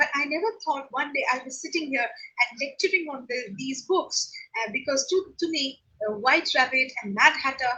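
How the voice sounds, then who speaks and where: A woman with a Bengali accent and lively intonation. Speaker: professor. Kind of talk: lecture. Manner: halting, many fillers.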